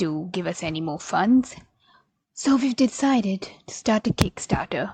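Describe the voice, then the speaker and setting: A woman speaks at a fairly slow pace, somewhat breathy. Her intonation is lively. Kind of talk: comedic mockumentary narration.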